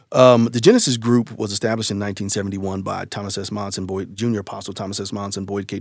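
With an American accent, a man talks at a fairly quick pace in a fairly low pitch and fairly even intonation. He has an unremarkable speaking voice, and the recording is very clean with a silent background. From Ohio, US Midwest. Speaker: church leader and former preacher. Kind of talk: interview storytelling.

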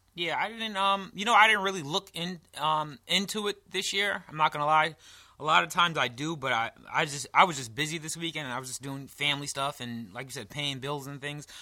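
With an American accent, this man speaks at a fairly quick clip in a fairly high, bright and sharp voice, his delivery animated with lively intonation and big shifts in loudness on a very clean recording with a silent background. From New York. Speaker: podcast co-host. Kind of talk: casual chat, comedic banter. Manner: animated, joking.

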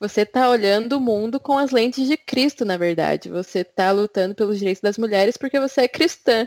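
A woman with an ordinary speaking voice talks at a fairly quick pace with hardly any pauses. Her pitch is fairly high and varies in an ordinary way. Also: dry, close sound with no echo. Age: 20s. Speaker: podcast co-host. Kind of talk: casual chat.

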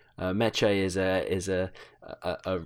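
A man with a British accent and a very deep, low voice, on a very clean recording with a silent background. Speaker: podcast guest. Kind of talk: casual chat. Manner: halting.

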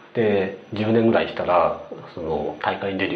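Audible room echo and noticeable background noise surround a man as he talks. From Kanazawa, Ishikawa, Japan. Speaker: podcast co-host, creator. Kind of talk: casual chat.

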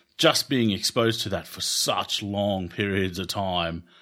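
On a very clean recording with a silent background, a man with an Australian accent speaks at a fairly low pitch and moderate pace in a bright, sharp tone. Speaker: podcast host, occupational therapist. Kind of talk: casual interview.

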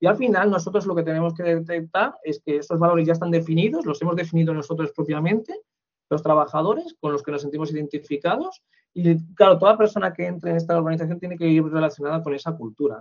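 A man talks in a high voice with ordinary pitch variation. His delivery comes at a very fast pace. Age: 40s. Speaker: human resources manager. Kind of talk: interview.

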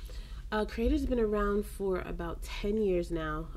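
A woman talks at a moderate pace in a room with audible echo. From Belize. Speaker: ministry worker. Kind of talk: interview. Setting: recorded on location, offsite.

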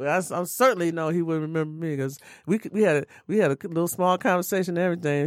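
A woman talks very fast with an American accent, her pitch fairly low and its variation ordinary. The recording is very clean, with a silent background. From Detroit, Michigan. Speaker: jazz musician. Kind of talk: interview.

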